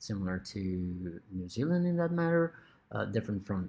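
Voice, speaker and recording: A man speaks in a Brazilian Portuguese accent. His pitch swings very widely. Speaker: lecturer. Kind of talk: lecture. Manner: hesitant, many fillers.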